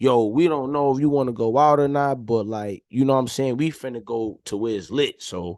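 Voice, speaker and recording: A man talks at a fairly quick pace with hardly any pauses, his pitch medium and its variation ordinary. The background is quiet. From New York City, Harlem. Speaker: entrepreneur. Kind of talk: casual chat.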